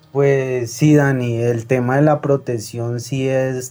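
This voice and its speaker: With music playing behind him, a man speaks at a medium pitch. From Colombia, Tolima (Ambalema). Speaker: caller. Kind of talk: phone-in story.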